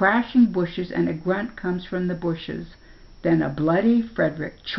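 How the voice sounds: The reading here is done in a natural reading voice.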